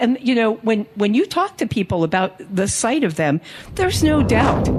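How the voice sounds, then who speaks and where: Noticeable background noise runs through the clip. A woman is the one talking. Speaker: psychic life coach. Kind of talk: panel talk. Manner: loud.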